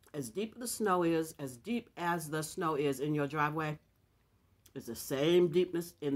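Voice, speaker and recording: At a fairly slow pace, a woman talks with ordinary pitch variation. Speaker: vlogger. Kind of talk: casual vlog chat while eating. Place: home room. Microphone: webcam.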